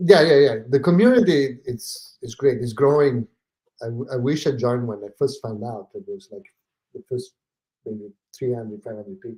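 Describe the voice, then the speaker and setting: A man with an Italian accent speaks at medium pitch, his tone dark, mellow and somewhat breathy. His intonation is lively, with big swings in loudness. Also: moderate pace. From southern Italy (Naples), moved to northern Italy at ten. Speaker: real estate investor. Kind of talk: podcast interview. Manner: hesitant, many fillers.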